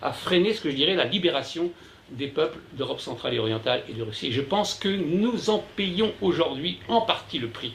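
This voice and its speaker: Audible room echo surrounds a man speaking at a high pitch and a moderate pace with very wide pitch swings. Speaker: journalist and essayist giving a talk. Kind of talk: conference lecture. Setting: conference room with live audience. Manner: loud; hesitant, many fillers and repetitions.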